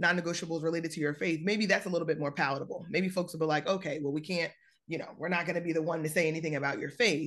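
The speech rushes along at a very fast pace in an animated tone with ordinary pitch variation. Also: woman. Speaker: podcast host, career coach. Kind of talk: casual interview chat. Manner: animated, excitable.

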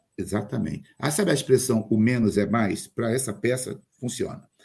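A man speaks at a moderate pace with a fairly low pitch and a somewhat breathy quality. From Rio de Janeiro, Brazil. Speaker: actor and playwright. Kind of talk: interview. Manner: animated.

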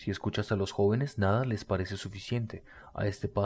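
The speaker is reading aloud in a natural voice, with fairly even intonation.

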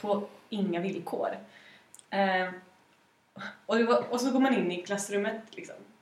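A woman at a fairly slow pace with lively intonation, long, frequent pauses and audible room echo. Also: medium pitch for a woman. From Gävle, Sweden. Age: 20s. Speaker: student union official. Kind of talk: casual podcast interview.

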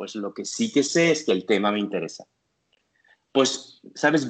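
Lively intonation marks this man's speech. He talks at a fairly high pitch. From Belgium. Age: 50s. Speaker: therapist. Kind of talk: interview conversation. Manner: halting.

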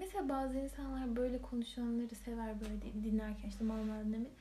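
Against noticeable background noise and audible room echo, a woman speaks at a moderate pace. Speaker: podcast co-host. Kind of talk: casual chat. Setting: home recording. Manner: whispery, soft-spoken.

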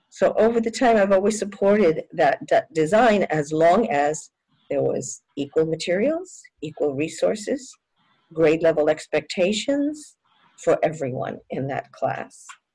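Her medium-pitched voice has a dark, mellow tone and a fairly slow pace. This woman's pitch swings very widely. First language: Spanish. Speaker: education professor. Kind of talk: interview.

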